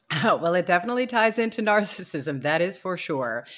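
A woman speaks at a fairly quick pace with an American accent, in a plain, everyday voice. The recording is very clean, with a silent background. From New York City. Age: 60s. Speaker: radio host and author. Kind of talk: interview.

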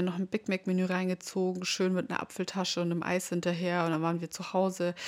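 Her pitch is medium for a woman. She talks at a fairly quick pace. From Bavaria, rural area near Munich. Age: 20s. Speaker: podcast host, mom influencer. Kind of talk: casual monologue.

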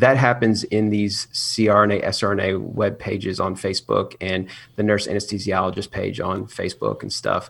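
The intonation is monotone and flat. There are hardly any pauses. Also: man, fairly low pitch for a man, moderate pace. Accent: American. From US South. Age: 30s. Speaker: nurse anesthetist and YouTuber. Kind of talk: casual chat.

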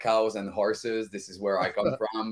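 A man speaks with a French-Canadian accent. His voice sits at a medium pitch. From Val d'Or, Quebec. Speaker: podcast guest. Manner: energetic, upbeat.

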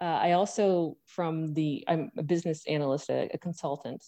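Speaking with an Ontario accent, a woman has a very deep, low pitch, a dark, mellow tone, and lively intonation against a quiet background. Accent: Canadian English (Ontario). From Hamilton, Ontario. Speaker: mayoral candidate and party leader. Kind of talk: interview.

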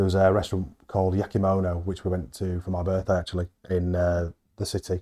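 Over a silent background in a very clean recording, a man with a very deep, low pitch and a dark, mellow tone talks at a very fast pace in a monotone, flat delivery. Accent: Yorkshire. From Halifax, West Yorkshire. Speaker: head chef. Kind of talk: casual chat. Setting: on location at a hotel.

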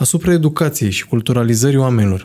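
At a moderate pace, a man with a dark, mellow tone and a somewhat breathy voice speaks with lively intonation. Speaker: podcast host. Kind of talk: casual chat.

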